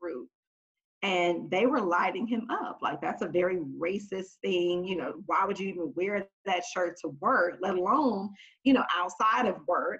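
Ordinary pitch variation marks a plain, everyday voice with an American accent. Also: woman. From Oakland, California. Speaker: corporate team leader. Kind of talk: panel discussion.

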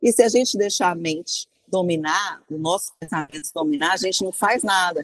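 Using an unremarkable speaking voice, a woman keeps a moderate pace and shows ordinary pitch variation. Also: medium pitch for a woman, dry, close sound with no echo. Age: 50s. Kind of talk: interview. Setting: remote call from abroad.

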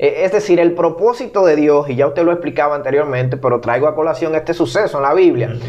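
Speaking very fast with hardly any pauses, a man keeps his loudness very even at a fairly high pitch while noticeable background noise runs underneath. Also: ordinary pitch variation. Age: 30s. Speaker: podcast host. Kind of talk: interview conversation.

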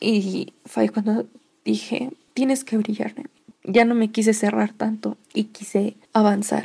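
In a dark, mellow tone that is somewhat breathy, the voice moves at a very slow pace with monotone, flat intonation. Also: woman, fairly high pitch for a woman. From Mexico, Toluca, State of Mexico. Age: 20s. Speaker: podcaster. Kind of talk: personal storytelling monologue.

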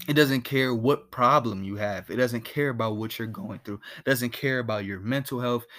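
On a very clean recording with a silent background, a man with an unremarkable speaking voice talks at a moderate pace and medium pitch. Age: young. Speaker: podcast host.

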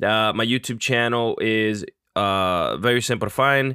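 A man has an unremarkable speaking voice at a medium pitch. His pitch varies in an ordinary way. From Puerto Rico and northern New Jersey. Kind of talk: podcast interview.

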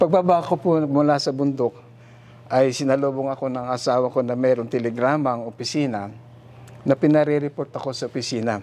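A man with a dark, mellow tone speaks at a medium pitch and a fairly quick pace, his intonation fairly even. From Philippines, Infanta, Quezon. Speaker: retired ship captain. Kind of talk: testimony.

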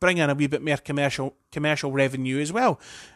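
Here a man talks fairly quickly in an Edinburgh accent. The sound is dry and close, with no echo. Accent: Scottish (Edinburgh). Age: 30s. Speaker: football fan podcaster. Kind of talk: solo opinion monologue. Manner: hesitant, many fillers and restarts.

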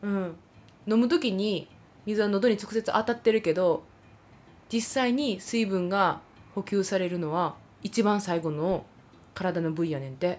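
Pausing long and often, a woman with a Kansai accent speaks with ordinary pitch variation. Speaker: podcast host, theatre performer. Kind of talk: casual chat. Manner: animated.

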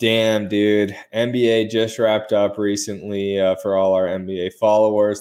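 A man speaks at a fairly slow pace with a fairly low pitch. His is a plain, everyday voice. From Arizona. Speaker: sports podcast host. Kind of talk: casual chat.

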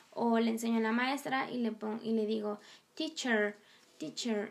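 Fairly high female pitch with ordinary pitch variation. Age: 20s. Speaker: languages student and podcast host. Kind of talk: educational podcast monologue. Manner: chatty with frequent filler sounds.

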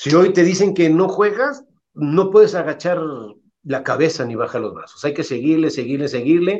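With lively intonation and a normal speaking voice, a man keeps to a moderate pace. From Mexico, Irapuato (Guanajuato). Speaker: retired football goalkeeper. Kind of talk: interview.

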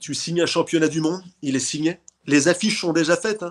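At a moderate pace, a man with a fairly high pitch speaks in a plain, everyday voice over a quiet background. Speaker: boxing promoter. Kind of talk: casual interview.

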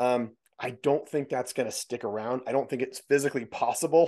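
A man talks at a fairly quick pace with ordinary pitch variation, in an unremarkable speaking voice. The background is quiet. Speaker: podcast host. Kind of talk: casual interview chat.

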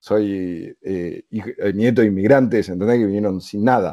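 A man talks in an unremarkable speaking voice. His pace is moderate and his pitch variation ordinary. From Argentina (Buenos Aires). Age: 30s. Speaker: podcaster. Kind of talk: casual interview.

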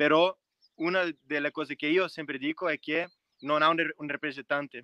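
A man talks at a fairly quick pace with a Brazilian accent. His tone is bright and sharp, and the sound is dry and close with no echo. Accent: Brazilian Portuguese-accented Italian. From Brazil, Minas Gerais. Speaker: racing driver. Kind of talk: interview. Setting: video call. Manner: halting.

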